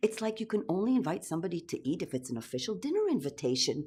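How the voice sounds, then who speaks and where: In an Israeli accent, a woman speaks at medium pitch with very wide pitch swings. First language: Hebrew. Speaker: storyteller. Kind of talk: personal story performance.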